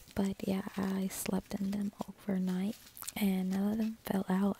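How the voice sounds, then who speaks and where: A soft-spoken woman talks at a fairly slow pace in a monotone, flat intonation. The sound is dry with no echo, with light background noise. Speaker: beauty vlogger. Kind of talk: casual vlog chat. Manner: soft, hushed ASMR voice. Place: home room. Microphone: phone near.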